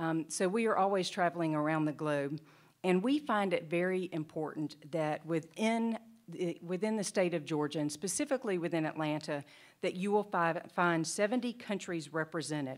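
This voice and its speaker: Speaking with a Southern US accent, a woman uses a fairly low pitch, ordinary pitch variation and a moderate pace, recorded very cleanly against a silent background. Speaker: state economic development official. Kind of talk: conference presentation.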